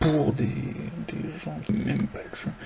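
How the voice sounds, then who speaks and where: A man whispers quietly. Noticeable background noise sits behind him. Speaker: gamer discussing game balance. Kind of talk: casual spoken monologue. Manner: near-whispered, quiet.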